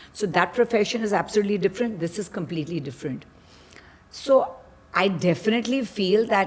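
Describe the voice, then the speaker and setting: Here a woman speaks at a medium pitch with lively intonation. Hers is a plain, everyday voice. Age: 60s. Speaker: model. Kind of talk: casual chat.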